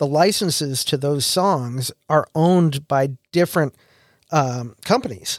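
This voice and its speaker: A man speaks with a fairly high pitch and an American accent, in an unremarkable speaking voice. His pitch varies in an ordinary way, and the sound is dry and close with no echo. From US Midwest. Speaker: podcast host. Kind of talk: casual chat.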